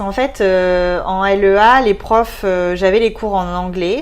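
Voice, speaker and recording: A woman speaks at a fairly slow pace, in a normal speaking voice. Her pitch sits at a medium level. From southwest France. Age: 20s. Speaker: expatriate interviewee. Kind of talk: casual interview.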